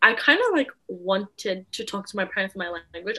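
A woman with an Australian accent. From Australia (born in the Philippines, moved at four). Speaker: podcast co-host. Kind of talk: casual chat.

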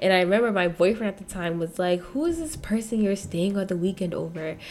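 A woman rattles off her words at a very fast pace amid noticeable background noise. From Nigeria. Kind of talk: casual chat.

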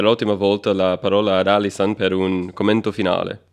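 Against a quiet background, a man with a non-native accent talks at a moderate pace in a fairly low pitch. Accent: foreign accent in Italian. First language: not Italian (speaking Italian). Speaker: podcast co-host. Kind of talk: interview. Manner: hesitant, many fillers.

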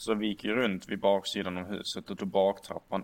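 The speaker is a man. His pitch sits fairly low. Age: 20s. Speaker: podcast guest. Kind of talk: casual chat.

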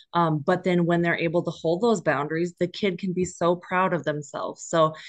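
Fairly quick speech with an Upper Midwest accent, fairly even intonation and a quiet background. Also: woman. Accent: sounds local, Upper Midwest. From northern Minnesota. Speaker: equine therapy counselor. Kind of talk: casual interview.

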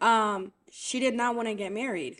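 A fairly high-pitched woman's voice with an American accent, bright and sharp in tone with ordinary pitch variation, on a very clean recording with a silent background. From Haiti, raised partly in Brooklyn, New York. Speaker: podcast guest. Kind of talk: casual chat.

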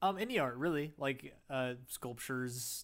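A man talks at a medium pitch on a very clean recording where the background is completely silent. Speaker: podcast host. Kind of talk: casual chat. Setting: podcast recording. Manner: eases voice into intro.

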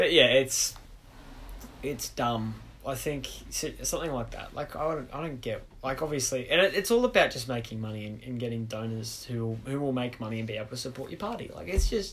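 With an Australian accent, a man talks at a fairly quick pace, at a medium pitch with ordinary pitch variation and big swings in loudness. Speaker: podcast host. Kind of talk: casual chat. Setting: bedroom home recording.

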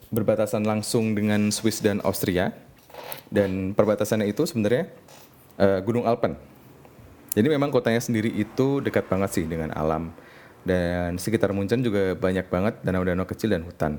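A dark, mellow tone carries this speaker along at a fairly quick pace. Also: man, fairly low pitch for a man, ordinary pitch variation. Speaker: podcast host, web developer. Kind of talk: casual solo monologue. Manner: halting, many fillers.

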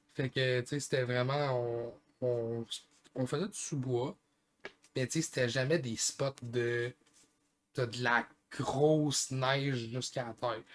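Speaking at a very slow pace with long, frequent pauses, a man keeps a medium pitch and fairly even intonation. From Gaspésie, Quebec. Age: 20s. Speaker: podcast co-host, skier. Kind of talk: casual chat.

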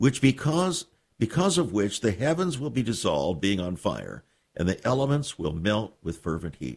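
The voice has vocal fry and very wide pitch swings. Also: man. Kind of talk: radio sermon-style monologue. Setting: radio studio. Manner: slow; solemn.

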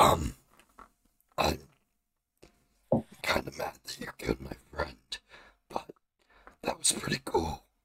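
A man's put-on character voice, raspy and very deep, at a fairly slow pace with long, frequent pauses. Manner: grudging, casual.

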